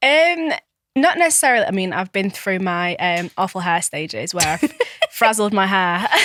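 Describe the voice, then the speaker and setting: A woman with a Manchester accent at medium pitch, with very wide pitch swings and a moderate pace. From Manchester, Tameside. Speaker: lifestyle coach. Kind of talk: casual interview chat.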